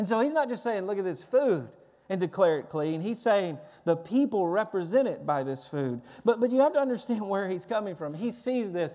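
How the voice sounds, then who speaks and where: A man's high-pitched voice has a dark, mellow tone and very wide pitch swings. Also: fairly quick pace. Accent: Tennessee. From Tennessee. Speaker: pastor. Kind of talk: sermon. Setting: church.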